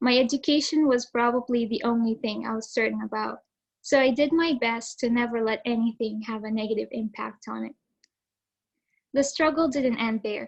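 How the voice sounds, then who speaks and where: A woman speaks with a fairly high pitch. Her pace is moderate and her pitch variation ordinary. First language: Arabic. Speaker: student speaker, valedictorian. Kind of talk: prepared speech. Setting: video call.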